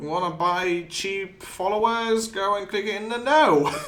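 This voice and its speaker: A very slow pace with noticeable background noise and audible room echo. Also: man. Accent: non-native. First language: not English. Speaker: gaming streamer. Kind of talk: live gameplay commentary. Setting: live stream. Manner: casual, halting with repetitions.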